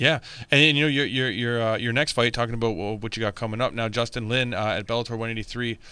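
With a bright, sharp tone and medium pitch, a man speaks very fast with fairly even intonation, the sound dry with no echo. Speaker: MMA podcast host. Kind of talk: casual interview. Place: studio. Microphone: studio mic.

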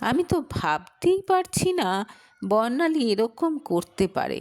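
Putting on a character voice, a woman speaks slowly at a fairly high pitch, with big pitch swings and a slightly mellow tone.

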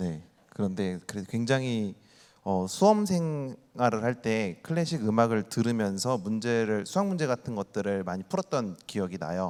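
In a very clean recording with a silent background, a man with a plain, everyday voice speaks at medium pitch with lively intonation. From Ansan, South Korea. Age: 30s. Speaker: youth volunteer group leader. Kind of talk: talk show panel. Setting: stage with audience.

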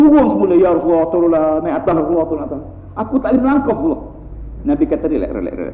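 Talking at a very fast pace, a man with a high pitch swings his voice very widely, and room echo is audible. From Malaysia. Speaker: Islamic preacher. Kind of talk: religious lecture. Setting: mosque. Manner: animated. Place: church. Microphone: lapel.

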